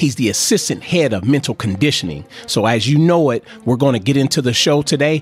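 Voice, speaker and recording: A man's fairly quick, lively delivery over music in the background. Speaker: podcast host. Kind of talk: podcast intro.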